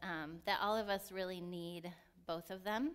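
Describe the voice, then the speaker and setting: A woman's loud voice with a bright, sharp tone, fairly slow pace and ordinary pitch variation, on a very clean recording with a silent background. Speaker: lay preacher. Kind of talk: sermon. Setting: church.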